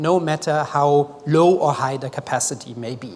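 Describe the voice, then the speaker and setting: A man's voice, varying in pitch in an ordinary way, is heard against noticeable background noise. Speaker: development expert presenting at a forum. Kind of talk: conference presentation. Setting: stage with audience.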